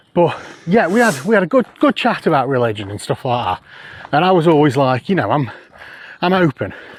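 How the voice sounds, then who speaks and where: Over noticeable background noise, a man with a fairly high pitch talks at a fairly quick pace, swinging his pitch very widely and taking long, frequent pauses, in a dry, close sound with no echo. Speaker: podcast host. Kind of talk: casual chat. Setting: outdoors.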